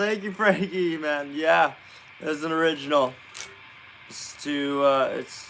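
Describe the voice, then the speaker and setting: Noticeable background noise sits under the recording. The man talks at a fairly slow pace. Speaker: streamer and songwriter. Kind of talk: livestream chat while drafting song lyrics. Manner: halting.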